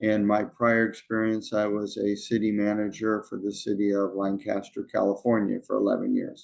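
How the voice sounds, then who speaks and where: A man with an American accent at a moderate pace, with hardly any pauses. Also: very even loudness. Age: 60s. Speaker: consultant, former city manager. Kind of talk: interview. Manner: halting, many fillers.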